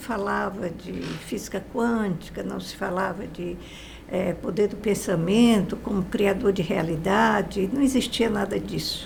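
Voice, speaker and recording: A woman speaking at a fairly slow pace, with noticeable background noise and audible room echo. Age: 80s+. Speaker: positive-thinking teacher. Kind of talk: interview.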